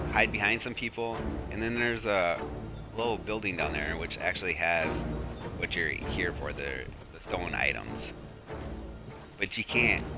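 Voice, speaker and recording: Over background music, a man with a fairly low pitch talks at a moderate pace in a calm, relaxed tone, his intonation lively and his pauses long and frequent. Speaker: gamer and parent who makes sleep gameplay videos. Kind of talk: casual gameplay commentary. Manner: calm, relaxed, low-key.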